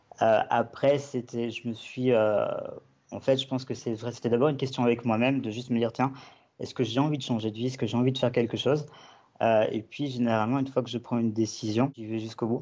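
The speech comes at a very fast pace in a monotone, flat delivery. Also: man, medium pitch for a man. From Belgium. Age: 20s. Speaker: web and app developer. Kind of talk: podcast interview. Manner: halting, many fillers and repetitions.

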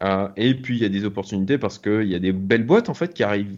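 The man's voice sits fairly low, with ordinary pitch variation. He keeps a moderate pace against a quiet background. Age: 40s. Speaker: business angel investor. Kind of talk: interview. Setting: video call. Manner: hesitant, many fillers.

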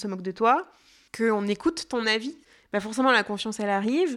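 A woman with a fairly high pitch talks at a very fast pace with ordinary pitch variation, in a very clean recording with a silent background. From France, Jura. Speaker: festival audience relations manager. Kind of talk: interview testimony. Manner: hesitant, many fillers.

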